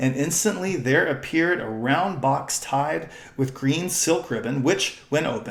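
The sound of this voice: What we hear is an unforced reading voice.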